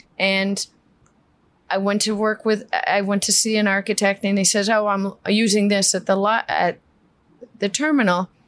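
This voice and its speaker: In a New York accent, a woman with a fairly high pitch speaks at a fairly slow pace. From New York City (Queens). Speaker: flooring company CEO. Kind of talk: interview.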